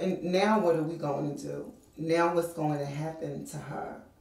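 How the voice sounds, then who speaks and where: A woman at a fairly low pitch and fairly slow pace, with audible room echo. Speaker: interviewee. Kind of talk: interview answer. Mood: earnest, reflective. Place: home room.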